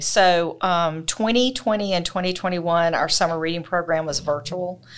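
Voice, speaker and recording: On a very clean recording with a silent background, a woman speaks at a fairly low pitch in a Southern US accent. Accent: Southern US (Georgia). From US South, Georgia (Thomson). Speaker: library branch manager. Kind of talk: interview.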